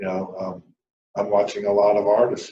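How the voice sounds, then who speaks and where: An unremarkable speaking voice from a man, fairly low in pitch and fairly slow. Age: 60s. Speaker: country music channel host. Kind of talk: casual monologue. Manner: casual.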